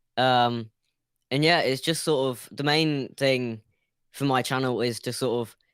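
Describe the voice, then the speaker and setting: This man has a British accent and a medium pitch, speaking at a fairly slow pace. The recording is very clean with a silent background. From UK. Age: young. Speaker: YouTube creator, caller on show. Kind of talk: casual interview. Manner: halting.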